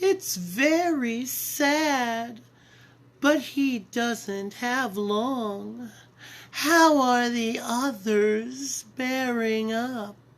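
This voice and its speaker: In a put-on character voice, a female-sounding voice with a high pitch for a woman speaks at a very slow pace. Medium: read story. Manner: sweet, coaxing, falsely motherly.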